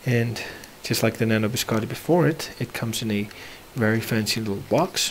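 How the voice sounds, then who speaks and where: A man speaks at a moderate pace and medium pitch. Noticeable background noise is present. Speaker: lightsaber builder. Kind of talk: casual talk to camera.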